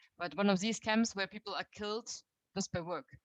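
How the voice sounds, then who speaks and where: A woman with a German accent is heard in a dry, close sound with no echo. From Germany. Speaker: youth movement leader. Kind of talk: talk to a meeting. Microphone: too quiet at first.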